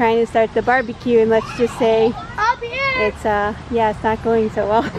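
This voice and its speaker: Over noticeable background noise, a woman talks at a moderate pace in a flat, monotone intonation, the sound dry with no echo. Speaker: family vlogger. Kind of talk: casual vlog chat. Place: garden. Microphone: phone near.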